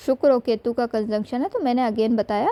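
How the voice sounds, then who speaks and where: The recording is dry and close with no echo, carrying a woman's fairly high-pitched voice with a dark, mellow tone. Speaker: astrologer. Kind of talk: astrology consultation reading. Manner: casual conversational with fillers.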